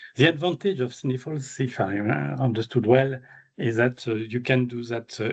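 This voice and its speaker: Somewhat breathy and medium in pitch, a man with a French accent speaks at a moderate pace with ordinary pitch variation. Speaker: animal geneticist, invited speaker. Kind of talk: Q&A discussion after a seminar talk. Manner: halting with many fillers.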